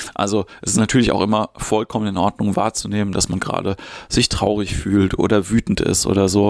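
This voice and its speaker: This is an ordinary speaking voice at a fairly quick pace. The sound is dry and close, with no echo. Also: man. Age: 40s. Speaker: podcast host, improv actor and comedian. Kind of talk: solo podcast monologue on mindfulness. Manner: casual, with filler sounds.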